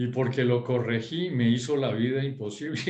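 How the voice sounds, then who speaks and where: A somewhat breathy man with a French accent, medium pitch for a man, fairly even intonation and a moderate pace, amid audible room echo. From Europe, French-speaking; grew up partly in Bogotá. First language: French (speaking Spanish). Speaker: former schoolmate in group discussion. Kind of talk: casual group discussion. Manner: halting, with many fillers.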